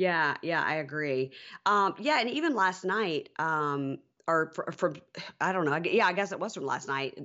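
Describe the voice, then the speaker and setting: A woman speaks in a normal speaking voice with an American accent, her pitch fairly low for a woman. She goes at a fairly slow pace with lively intonation. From US South, Mississippi. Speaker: podcast host. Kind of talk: casual chat.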